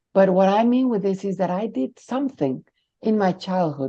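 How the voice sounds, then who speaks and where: A woman's medium-pitched voice in a Spanish accent, dark and mellow in tone, with lively intonation. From Mexico. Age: 60s. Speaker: near-death experiencer sharing her story. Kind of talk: interview testimony.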